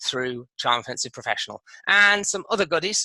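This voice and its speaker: With a British accent, a man speaks at a fairly quick pace in a bright, sharp tone with ordinary pitch variation and a dry, close sound with no echo. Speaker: online business course creator. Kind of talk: product walkthrough. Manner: fast.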